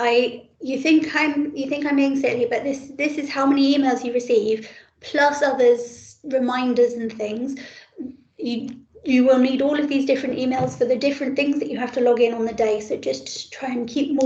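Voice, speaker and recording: The speech moves at a moderate pace with fairly even intonation. Audible room echo is present. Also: woman, high pitch for a woman. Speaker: paediatric trainee doctor teaching exam preparation. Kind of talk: online teaching session. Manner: many ums and ers.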